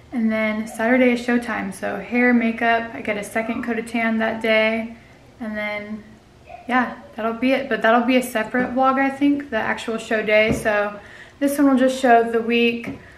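A woman speaks at a moderate pace in a monotone, flat intonation, with audible room echo and light background noise. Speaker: fitness competitor vlogger. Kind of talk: casual vlog chat. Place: home room. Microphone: phone near.

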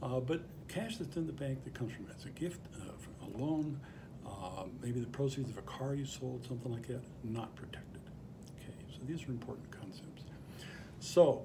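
A man talks at a moderate pace with big swings in loudness. Noticeable background noise runs underneath. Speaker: bankruptcy attorney. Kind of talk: explainer to camera. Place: office. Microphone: phone near.

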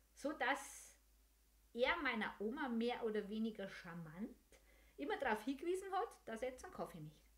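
A woman with a Bavarian accent and a high pitch makes very wide pitch swings, leaving long, frequent pauses. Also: moderate pace. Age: 50s. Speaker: podcast host and senior care service owner; podcast host. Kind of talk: casual monologue. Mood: warm, humorous. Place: home room. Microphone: studio mic.

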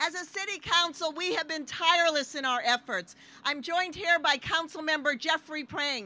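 A woman's raised, projected voice at an extremely high pitch, with ordinary pitch variation and a moderate pace, over noticeable background noise. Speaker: city mayor and speaker. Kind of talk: rally speech. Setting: outdoor rally with crowd. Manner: proud, upbeat, formal.

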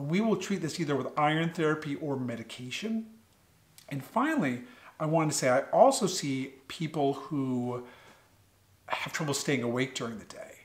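Somewhat breathy, a man with an American accent speaks at a fairly high pitch. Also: ordinary pitch variation, moderate pace. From US Northeast, Connecticut. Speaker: pediatric sleep doctor. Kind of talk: educational talk to schoolchildren. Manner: friendly, conversational. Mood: friendly, explanatory. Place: home room. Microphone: studio mic.

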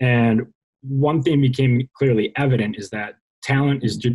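Somewhat breathy, fairly even intonation against a quiet background. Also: man. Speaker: podcast co-host. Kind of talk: casual interview. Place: home room. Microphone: video call.

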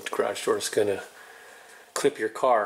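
The speech comes at a fairly slow pace over light background noise. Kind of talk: casual vlog chat. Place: garage. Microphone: phone near.

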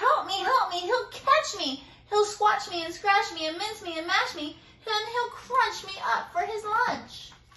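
A woman puts on a squeaky character voice, pitched extremely high, and speaks at a moderate pace. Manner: pleading, panicked.

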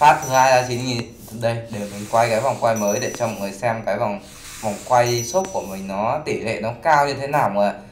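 With audible room echo and light background noise, a man speaks at a moderate pace with ordinary pitch variation. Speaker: gaming streamer. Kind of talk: casual commentary while playing. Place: home room.

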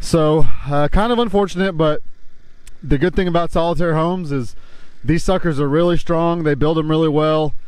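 A man's voice at a moderate pace with ordinary pitch variation, dry with no echo, over a quiet background. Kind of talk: casual vlog chat. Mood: concerned but calm, light laughs. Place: open country. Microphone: phone near.

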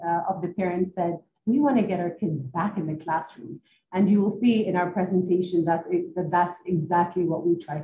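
Somewhat breathy and dark, mellow in tone, a woman with fairly low pitch speaks at a fairly quick pace with ordinary pitch variation, amid light background noise and audible room echo. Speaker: presenter. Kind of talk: presentation. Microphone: video call.

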